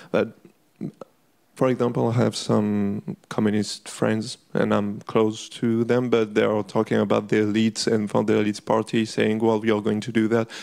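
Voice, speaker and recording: A fairly low-pitched man with a French accent, monotone, flat intonation, very even loudness and a moderate pace. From France. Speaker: audience member. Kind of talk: audience question. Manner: halting.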